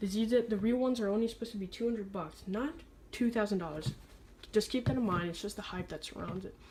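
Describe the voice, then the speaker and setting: This woman's voice comes across as somewhat breathy. Her pitch moves in an ordinary way. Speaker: sneaker reviewer. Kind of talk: product review. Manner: stutters at times.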